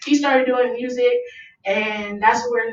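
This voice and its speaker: This woman speaks with an American accent at a moderate pace. Some room echo is audible. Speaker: rapper. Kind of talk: interview. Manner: loud.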